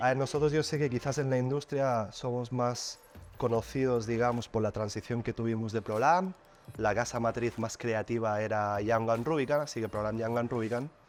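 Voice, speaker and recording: Over music in the background, a man speaks at medium pitch and a moderate pace with fairly even intonation. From Catalonia, Spain. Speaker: advertising agency executive. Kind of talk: podcast interview. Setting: studio.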